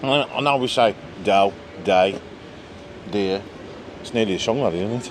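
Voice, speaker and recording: A man speaks at a fairly low pitch, leaving long, frequent pauses. Noticeable background noise sits behind him. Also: ordinary pitch variation, moderate pace. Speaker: travel vlogger. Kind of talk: casual vlog chat. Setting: bar in Majorca. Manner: animated.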